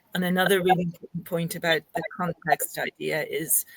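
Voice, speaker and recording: A woman with an Irish accent speaks at a fairly low pitch in a monotone, flat way, and the sound is dry and close with no echo. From Ireland. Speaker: linguistics academic. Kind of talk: interview discussion. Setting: podcast recording.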